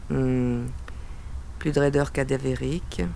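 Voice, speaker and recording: Very deep, low pitch from a woman, at a fairly slow pace. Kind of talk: noir first-person narration. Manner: terse, hard-boiled.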